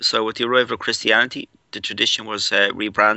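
A man with a Dublin accent at fairly low pitch, monotone and flat in intonation. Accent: Irish (Dublin). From Ireland. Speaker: paranormal researcher. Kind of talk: casual interview.

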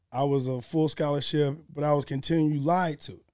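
Fairly high in pitch, this man's voice carries a dark, mellow tone. He speaks at a fairly quick pace with fairly even intonation. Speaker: strength coach and former football player. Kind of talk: casual chat. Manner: fast.

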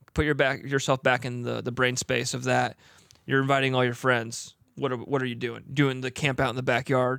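A man talks in an ordinary speaking voice at a medium pitch. His pace is fairly quick. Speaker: podcast co-host. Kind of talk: casual chat.

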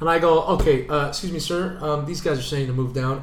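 With a Canadian accent, the speaker sounds animated and somewhat breathy, and there is audible room echo. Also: man. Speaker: sports podcast co-host. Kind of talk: casual chat.

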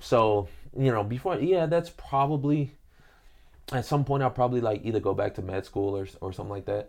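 With an American accent, a man of medium pitch talks at a fairly quick pace with lively intonation over a quiet background. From US Midwest, Detroit. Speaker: professional MMA fighter. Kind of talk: casual interview chat. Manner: laid-back.

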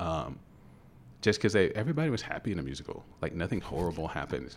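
Speaking in a Kentucky accent, a man with a very deep, low voice talks at a very fast pace. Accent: Kentucky, Louisville. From Louisville, Kentucky. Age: 50s. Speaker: actor, guest.

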